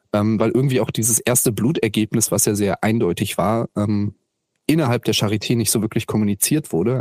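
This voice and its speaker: A man talks at a fairly quick pace in a dark, mellow tone with fairly low pitch. The sound is dry and close with no echo, and his intonation is fairly even. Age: 20s. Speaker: activist with a chronic illness. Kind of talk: interview. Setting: video call.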